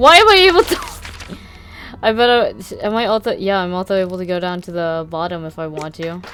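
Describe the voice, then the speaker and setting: Over noticeable background noise, a woman speaks quietly at a fairly quick pace. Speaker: streamer. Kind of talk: let's play commentary. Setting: at home.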